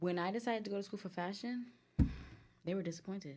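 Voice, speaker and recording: This is a woman speaking. She has a Guyanese accent. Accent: noticeable Caribbean (Guyanese). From US, New Jersey area, Guyanese family. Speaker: boutique owner, entrepreneur. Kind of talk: casual chat.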